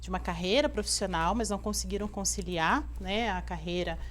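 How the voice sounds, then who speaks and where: Audible room echo hangs around the speaker. A woman talks at a medium tempo. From Rio de Janeiro, Brazil. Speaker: business owner, entrepreneur. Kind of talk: interview.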